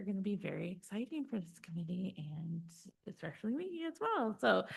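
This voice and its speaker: A woman speaks in a somewhat breathy, medium-pitched voice. Her pitch swings very widely. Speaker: county program coordinator. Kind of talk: committee meeting report. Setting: public committee meeting. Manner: fast.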